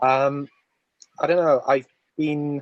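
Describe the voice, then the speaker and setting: With a Polish accent, a man speaks at a fairly slow pace. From Poland. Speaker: community member. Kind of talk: casual chat.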